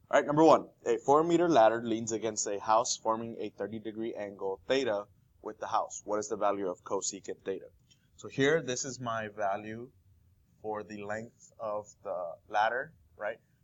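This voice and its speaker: A man with a normal speaking voice talks at a moderate pace, showing ordinary pitch variation and big swings in loudness. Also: medium pitch for a man. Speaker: math teacher. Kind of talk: tutorial.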